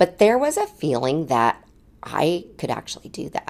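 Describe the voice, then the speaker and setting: Against a silent background in a very clean recording, a woman speaks at a moderate pace with an animated tone and vocal fry. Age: 40s. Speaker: podcast host. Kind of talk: solo monologue.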